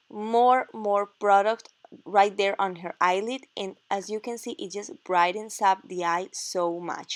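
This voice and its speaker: With a Spanish accent, a woman speaks at a fairly slow pace and medium pitch, with ordinary pitch variation and a dry, close sound with no echo. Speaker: makeup artist. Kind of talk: tutorial.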